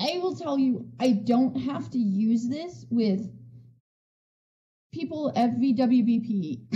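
A woman speaks slowly at a fairly high pitch, her tone dark and mellow. Her intonation is lively, and room echo is audible.

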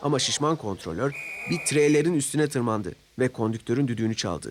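At a fairly quick pace, a man talks at medium pitch with lively intonation.

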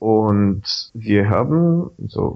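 Speaking in a Bulgarian accent, a man talks at a fairly low pitch. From Bulgaria, Sofia. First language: Bulgarian (speaking German). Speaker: Wikipedia volunteer. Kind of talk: casual interview. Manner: animated.

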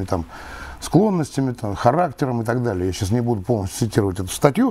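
At a fairly quick pace, a man talks with a medium-pitched voice. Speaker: retired colonel. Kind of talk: interview. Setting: studio. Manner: formal. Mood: calm, earnest argument. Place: studio. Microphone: lapel.

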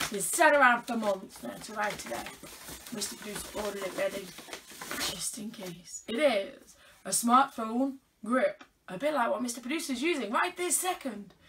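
With a British accent, a woman at a high pitch speaks at a moderate pace in an animated tone, lively intonation and big swings in loudness, over light background noise. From UK. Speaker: unboxing vlogger. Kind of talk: casual unboxing chat. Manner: chatty, animated. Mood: playful, teasing. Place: home room. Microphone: phone near.

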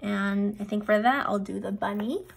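A somewhat breathy woman speaks at a fairly slow pace. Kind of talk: casual vlog chat. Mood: excited, cheerful.

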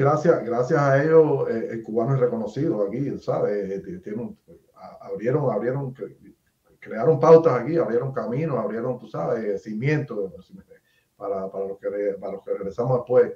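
Audible room echo surrounds a man speaking at a moderate pace. His loudness swings widely and his intonation is lively. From Cuba. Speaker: YouTube interviewer. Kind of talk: interview. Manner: halting, with many repetitions. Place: home room.

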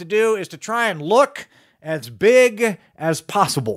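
A high-pitched man with an American accent and lively intonation. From Charleston, West Virginia. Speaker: storyteller. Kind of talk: tall tale storytelling performance.

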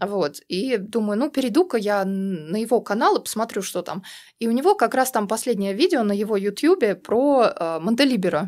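Over a silent background in a very clean recording, a woman speaks at a moderate pace in a plain, everyday voice, fairly high in pitch and lively in intonation. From Russia. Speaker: activist, community member. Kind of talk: casual interview chat. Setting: studio.

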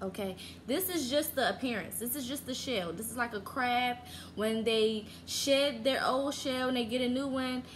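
Music sits in the background behind a woman with a high pitch. She keeps a moderate pace and ordinary pitch variation. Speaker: vlogger. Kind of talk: casual vlog chat. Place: home room. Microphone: phone near.

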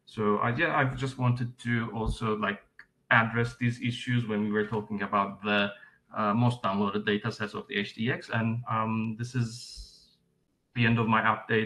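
A man speaks with a bright, sharp tone. His intonation is monotone and flat. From Turkey. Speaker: open mapping trainer. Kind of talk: webinar presentation. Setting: video call. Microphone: video call.

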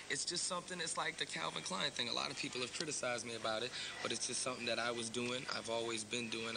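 Over loud background noise, a man talks at a very fast pace with ordinary pitch variation. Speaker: interviewee. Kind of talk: interview answer. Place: hall.

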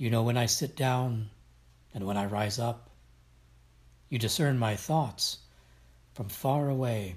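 Solemn, somewhat breathy speech from a man at medium pitch, fairly slow, with long, frequent pauses and ordinary pitch variation. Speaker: devotion reader. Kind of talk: reading aloud of scripture and devotional prayer, reverent and fervent. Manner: solemn, reverent, measured.

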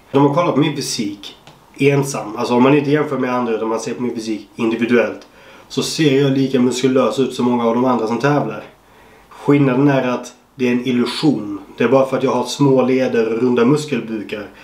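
With audible room echo, a man speaks at a fairly quick pace and medium pitch with fairly even intonation. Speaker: bodybuilder and YouTuber. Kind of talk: casual vlog. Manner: casual, swearing-laden.

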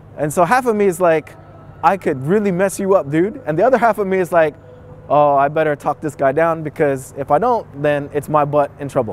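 A fairly high-pitched man with an animated tone and lively intonation at a fairly quick pace, in a dry sound with no echo and light background noise. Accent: Bay Area. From San Francisco, California, Filipino-American. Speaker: English teacher in Japan telling stories. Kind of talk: casual storytelling interview. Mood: animated, amused storytelling. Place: street. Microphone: lapel.

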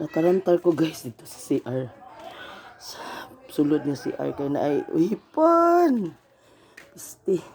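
Speaking in a Philippine accent at a very slow pace, a woman leaves long, frequent pauses, and her loudness swings widely. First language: Cebuano (speaking Tagalog). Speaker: vlogger. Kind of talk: casual vlog. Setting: beach house.

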